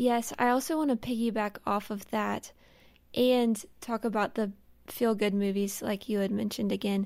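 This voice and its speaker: A woman with an unremarkable speaking voice talks at a moderate pace and a fairly high pitch. Her intonation is fairly even, on a very clean recording with a silent background. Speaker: intern. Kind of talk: casual roundtable chat.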